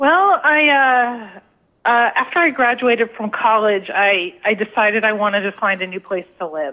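In an ordinary speaking voice, an American-accented woman talks at a moderate pace and fairly high pitch with lively intonation. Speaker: food photographer and author. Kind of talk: radio interview.

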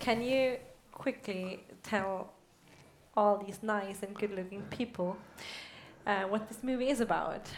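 With audible room echo, a woman with a German accent speaks at a fairly slow pace, medium in pitch with fairly even intonation and long, frequent pauses. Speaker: interviewer. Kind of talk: on-stage interview. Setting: stage with audience.

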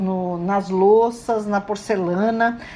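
Very slowly, a woman speaks at a medium pitch. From Brazil. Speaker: radio host. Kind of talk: radio talk. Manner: casual, conversational.

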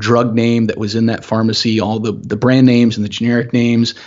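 A man with an American accent and a medium pitch. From US South, Augusta, Georgia. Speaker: security software company CEO. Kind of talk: casual interview.

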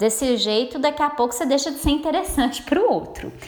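Noticeable background noise sits behind this woman. She speaks at a high pitch with lively intonation. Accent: Minas Gerais. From Minas Gerais, Brazil. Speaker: therapist and web radio host. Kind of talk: radio talk monologue. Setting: web radio studio.

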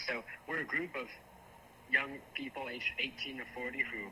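Noticeable background noise sits behind a man who speaks at a moderate pace. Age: young. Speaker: young political organizer. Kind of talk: radio interview.

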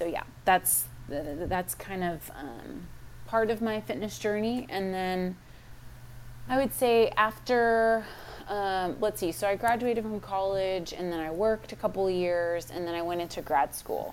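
A woman at medium pitch talks at a fairly slow pace with ordinary pitch variation. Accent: Texan. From Texas. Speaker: fitness coach. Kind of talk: interview.

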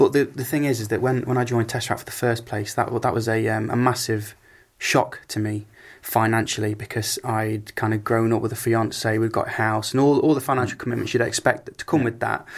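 A man uses a normal speaking voice at a medium pitch. He talks fairly quickly with fairly even intonation. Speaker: singer. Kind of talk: interview chat.

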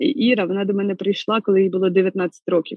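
A woman at a medium pitch speaks with fairly even intonation in an ordinary speaking voice. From central Ukraine, Kirovohrad region. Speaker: lawyer turned soldier. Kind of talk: interview.

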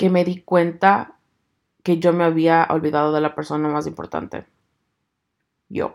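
The intonation of this woman's speech stays fairly even. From Ecuador. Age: 30s. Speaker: podcaster. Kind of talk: casual monologue.

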